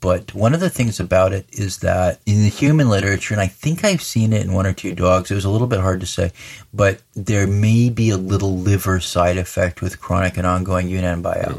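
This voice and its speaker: A man with an American accent speaks at a very deep, low pitch and moderate pace. His intonation is fairly even, and the recording is very clean with a silent background. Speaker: veterinarian. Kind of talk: expert interview explanation.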